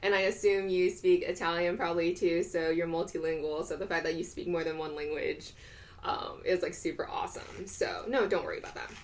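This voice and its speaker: A woman talks at a fairly quick pace while noticeable background noise carries on around her. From US South, Georgia. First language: not English. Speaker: streamer. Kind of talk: live-stream unboxing and eating chat. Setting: live stream at home. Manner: casual, filler-heavy.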